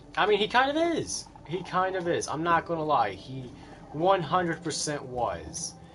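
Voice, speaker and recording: A man speaks at a moderate pace in a high voice with lively intonation. Noticeable background noise can be heard. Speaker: gaming livestreamer. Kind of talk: casual chat. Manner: stuttering; halting.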